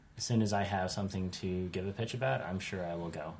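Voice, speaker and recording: A man with an American accent and a plain, everyday voice talks at a moderate pace with fairly even intonation. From United States. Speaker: podcast host. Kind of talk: casual chat.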